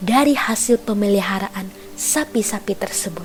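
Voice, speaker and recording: Music plays in the background as a woman speaks at a fairly slow pace with lively intonation. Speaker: singer and narrator, talent of a production house. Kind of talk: whispered Buddhist story narration. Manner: whispered, soft.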